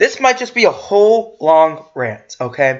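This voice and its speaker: Loud and shouting, a man's voice leaps through very wide pitch swings. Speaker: YouTube commentator. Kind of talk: rant reacting to an article. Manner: loud, yelling; halting, stumbling while reading. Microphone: has had audio problems.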